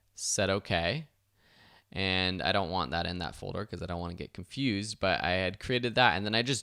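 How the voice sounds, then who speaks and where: A man's very deep, low voice carries a bright, sharp tone at a moderate pace on a very clean recording with a silent background. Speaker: online video instructor. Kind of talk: software tutorial.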